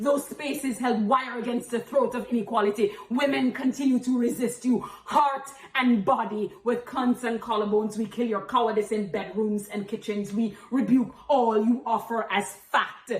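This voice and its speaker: Over noticeable background noise, a woman with a fairly high pitch talks at a moderate pace with hardly any pauses and ordinary pitch variation. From Jamaica. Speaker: spoken-word poet and activist. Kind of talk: spoken-word poetry performance. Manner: forceful, impassioned.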